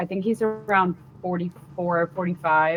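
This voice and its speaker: With music in the background, a woman with an American accent speaks in a fairly low, monotone voice with flat intonation. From Washington DC area. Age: 20s. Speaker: comedian. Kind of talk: casual interview chat. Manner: casual, filler-heavy.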